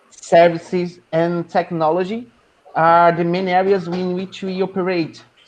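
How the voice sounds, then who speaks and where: A non-native accent at a fairly slow pace. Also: man. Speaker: professor. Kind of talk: presentation.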